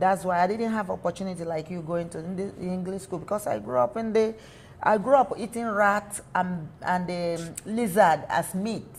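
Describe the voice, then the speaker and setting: Speaking at a moderate pace and medium pitch, a somewhat breathy woman shows ordinary pitch variation and big swings in loudness. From Nigeria. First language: not English. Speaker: small business owner. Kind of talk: interview. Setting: studio. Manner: halting; animated.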